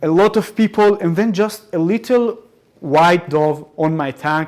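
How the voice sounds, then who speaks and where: Speaking at a fairly slow pace, a man with an Arabic accent uses a high pitch and ordinary pitch variation. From Israel. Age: 20s. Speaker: soldier speaking about war experience. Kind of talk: public talk to audience. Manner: halting with many repetitions.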